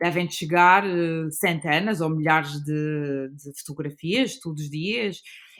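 A woman speaks at a very slow pace in a very deep, low voice. Her pitch varies in an ordinary way, with big swings in loudness. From Azores (São Miguel). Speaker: guesthouse owner and designer. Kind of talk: casual chat.

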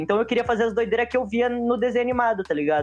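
A man talks at a very fast pace. His intonation is lively, and music plays in the background. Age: 20s. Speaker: comic artist and skateboarder. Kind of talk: casual chat.

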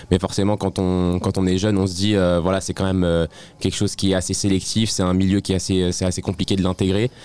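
A man's very deep, low voice with a dark, mellow tone, very fast pace, monotone, flat intonation and very even loudness. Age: 20s. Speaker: stand-up comedian. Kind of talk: interview. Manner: halting.

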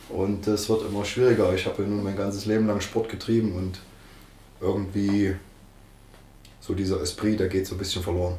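Fairly quick speech from a man with fairly low pitch, monotone, flat intonation, long, frequent pauses and audible room echo. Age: 50s. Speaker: football coach. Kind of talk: interview.

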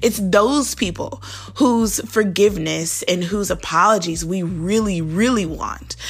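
A woman at a fairly slow pace with ordinary pitch variation, amid noticeable background noise and audible room echo. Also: medium pitch for a woman. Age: 20s. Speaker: devotional podcast host. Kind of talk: devotional talk. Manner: casual.

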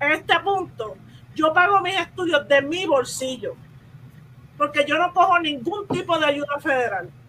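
The voice is raised and projected, bright and sharp in tone, with lively intonation at a fairly slow pace. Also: woman. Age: 30s. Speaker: parent. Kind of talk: casual chat.

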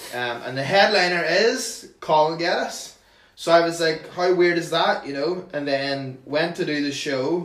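With noticeable background noise behind him, a man with a Northern Irish accent speaks fairly slowly in a high pitch, showing ordinary pitch variation. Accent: Northern Irish (Tyrone). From Northern Ireland, County Tyrone. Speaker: comedian. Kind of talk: casual chat.

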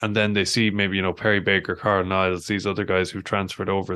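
A man with a western Irish accent, fairly low in pitch and very fast, with fairly even intonation against a quiet background. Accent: Irish (west of Ireland). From west of Ireland, County Mayo. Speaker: former professional rugby player and author. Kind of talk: podcast interview.

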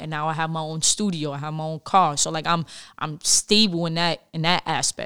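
In a very clean recording with a silent background and a dry, close sound with no echo, a woman with a New York accent speaks at a fairly low pitch and a fairly quick pace in a bright, sharp tone. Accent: New York City. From New York City, the Bronx. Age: 20s. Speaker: former basketball player. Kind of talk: casual interview.

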